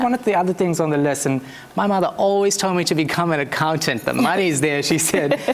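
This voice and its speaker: A very fast pace over noticeable background noise. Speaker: news anchor. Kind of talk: TV news anchoring.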